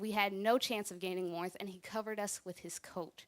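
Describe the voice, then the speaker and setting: At a medium pitch, a woman talks in a normal speaking voice. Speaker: spoken word poet. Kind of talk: spoken word poetry performance. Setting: church.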